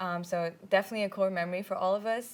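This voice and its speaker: A woman with an Indian accent speaks at medium pitch and a moderate pace, her intonation flat and monotone. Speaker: student a cappella group president. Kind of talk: interview. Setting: studio.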